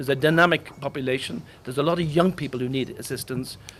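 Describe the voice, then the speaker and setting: A man speaks very fast in an Irish accent. His pitch is fairly high, with ordinary variation. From Ireland. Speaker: diplomat. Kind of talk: official speech at press launch.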